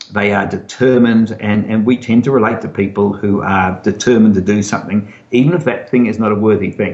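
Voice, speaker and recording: In an Australian accent, a man with a fairly low pitch talks at a fairly quick pace with fairly even intonation and hardly any pauses, over noticeable background noise. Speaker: novelist. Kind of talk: interview. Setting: video call. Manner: repetitive, halting at times.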